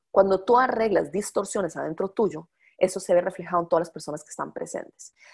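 Very fast female speech at a medium pitch, with big swings in loudness and ordinary pitch variation. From Costa Rica. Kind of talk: lecture. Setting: live call.

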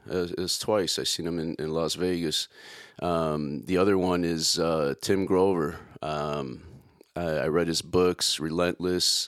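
A man with a Chicago accent speaks with a very deep, low pitch. His pace is fairly slow and his intonation fairly even. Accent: Chicago American. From Chicago, South Side. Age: 40s. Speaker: podcast host, entrepreneur. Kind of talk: casual podcast monologue.

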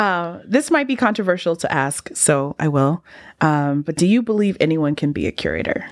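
A woman with a Californian accent at a fairly low pitch and moderate pace, with very wide pitch swings, on a very clean recording with a silent background and a dry, close sound with no echo. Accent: Californian American English. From Los Angeles (West Hollywood). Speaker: podcast host. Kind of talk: interview conversation. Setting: in person.

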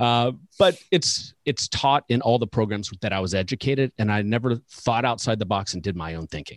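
A man speaks at a moderate pace in fairly low pitch with a plain, everyday voice. The sound is dry and close, with no echo. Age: 40s. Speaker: financial advisor coach and podcast host. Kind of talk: casual interview chat.

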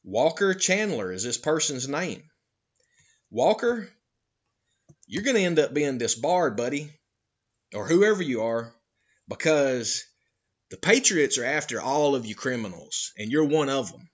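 A man's fairly high voice in a Georgia Appalachian accent, fairly slow with long, frequent pauses, very wide pitch swings and big swings in loudness. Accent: Southern US (Georgia Appalachian). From US South, North Georgia Appalachian mountains. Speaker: podcast host. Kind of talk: monologue commentary. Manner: animated.

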